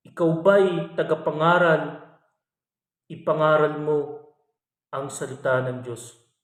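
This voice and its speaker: A man speaks slowly-ish, with long, frequent pauses and fairly even intonation at a fairly high pitch. Audible room echo surrounds his voice. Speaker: religious reflection vlogger. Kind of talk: bible reflection. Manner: polite, warm address.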